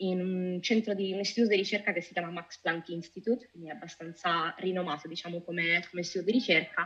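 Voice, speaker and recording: Here a woman with an ordinary speaking voice talks at a medium pitch and a fairly quick pace, with ordinary pitch variation. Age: 30s. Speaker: data officer and UX researcher. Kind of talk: interview.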